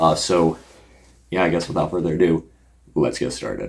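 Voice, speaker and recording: The speaker is a man. His voice has vocal fry. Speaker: YouTube content creator. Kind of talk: casual unscripted vlog talk. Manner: halting, many fillers.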